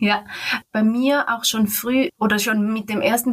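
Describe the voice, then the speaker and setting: A woman's normal speaking voice, fairly high in pitch, with ordinary pitch variation. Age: 30s. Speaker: interview guest. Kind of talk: personal interview.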